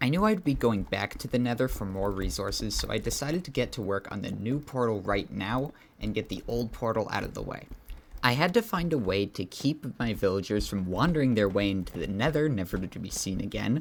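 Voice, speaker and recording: Fairly low in pitch and marked by vocal fry, a man speaks with lively intonation at a fairly quick pace. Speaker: gaming YouTuber. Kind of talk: gameplay commentary. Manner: soft-spoken; casual, halting.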